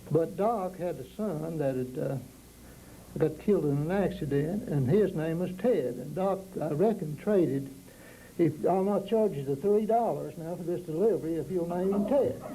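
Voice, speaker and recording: Audible room echo surrounds a man with a Southern Appalachian accent who speaks at a moderate pace in a high pitch with ordinary pitch variation. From East Tennessee, Smoky Mountains. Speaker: panelist recalling local history. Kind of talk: oral history storytelling.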